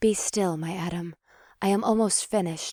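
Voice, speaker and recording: A husky, put-on character voice at middle pitch speaks in a calm tone at a moderate pace, on a very clean recording with a silent background. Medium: read story. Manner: calm, formal, seductive.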